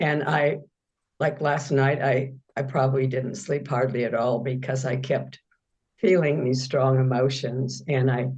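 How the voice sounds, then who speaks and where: In a room with audible echo, a woman with a very deep, low pitch speaks somewhat breathily at a fairly slow pace, her intonation monotone and flat and her loudness very even. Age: 80s+. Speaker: meditation student. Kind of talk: question in Q&A.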